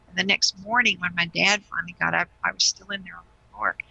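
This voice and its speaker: A woman speaks with vocal fry. Her pace is fairly quick. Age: 60s. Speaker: guest sharing spiritual experiences. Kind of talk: testimony.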